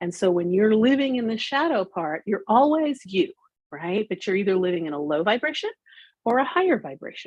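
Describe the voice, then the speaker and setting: At a fairly quick pace, a woman talks with a fairly high pitch and very wide pitch swings. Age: 60s. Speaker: business coach and corporate manager. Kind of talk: interview.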